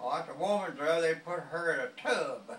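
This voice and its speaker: Audible room echo on a man's speech, his pitch varying in an ordinary way. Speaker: grandfather. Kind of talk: casual storytelling to family. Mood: amused, cheerful. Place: home room. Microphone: phone near.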